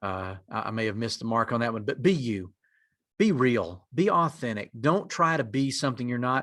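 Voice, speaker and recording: Speaking with a strong North Carolina mountain accent, a man talks at a fairly quick pace in a medium pitch with ordinary pitch variation, in a very clean recording with a silent background. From western North Carolina mountains. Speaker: executive director of a native community lender, presenter. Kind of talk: conference presentation.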